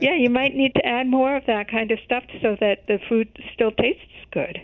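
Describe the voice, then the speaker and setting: Her loudness very even, a woman with a high pitch speaks at a moderate pace. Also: ordinary pitch variation. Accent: American. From US Midwest, Chicago. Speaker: health journalist. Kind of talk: interview.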